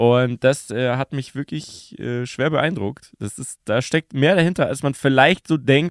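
An ordinary speaking voice from a man, medium in pitch with ordinary pitch variation, at a fairly slow pace. The sound is dry and close with no echo, on a very clean recording with a silent background. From Bavaria, Munich. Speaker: TV presenter and podcaster. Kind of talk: casual chat. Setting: podcast studio in a tavern.

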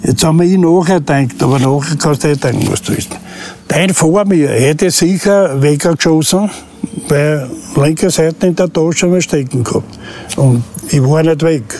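A man with a fairly high pitch speaks at a moderate pace with ordinary pitch variation and very even loudness over noticeable background noise. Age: 70s. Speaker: crime victim, retired taxi driver. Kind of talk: interview. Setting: outdoors.

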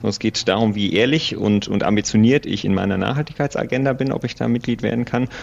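Very fast speech with fairly even intonation over noticeable background noise. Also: man. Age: 30s. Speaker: sustainability consultant. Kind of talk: interview.

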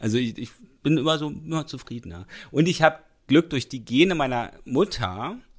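A man with a fairly high pitch speaks with lively intonation, big swings in loudness and vocal fry. The recording is very clean with a silent background. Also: moderate pace. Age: 40s. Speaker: podcast co-host. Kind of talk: casual chat.

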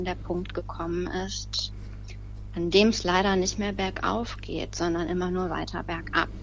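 Audible room echo and noticeable background noise surround a woman speaking at a fairly slow pace. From Lower Rhine, Germany. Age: 30s. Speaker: bereaved relative, petition starter. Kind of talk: interview.

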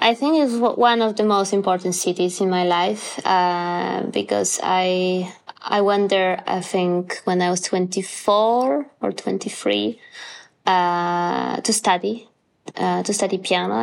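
A woman with a Polish accent speaks fairly slowly at a medium pitch, with ordinary pitch variation and very even loudness, in a very clean recording with a silent background. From Poland. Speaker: pianist and composer. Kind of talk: interview. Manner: halting, many fillers.

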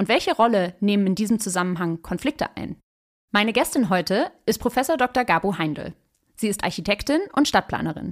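Using a normal speaking voice, a woman talks at a moderate pace and fairly high pitch with lively intonation, in a very clean, dry, close recording with no echo and a silent background. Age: 30s. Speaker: podcast host and urban sociologist. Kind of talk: interview conversation; scripted narration. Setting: studio.

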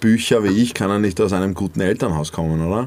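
In a fairly low pitch, a man with an unremarkable speaking voice talks with fairly even intonation. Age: 20s. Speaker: influencer and radio presenter. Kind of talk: casual chat.

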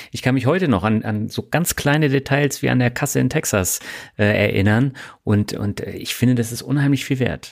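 This man has a plain, everyday voice at medium pitch, moving at a moderate pace with ordinary pitch variation. The recording is very clean, with a silent background. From Germany. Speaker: podcast host. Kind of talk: interview; scripted narration.

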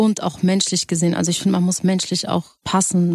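The voice has a dark, mellow tone and is somewhat breathy. The sound is dry and close, with no echo. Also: woman. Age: young. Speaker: singer. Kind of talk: radio interview, casual chat.

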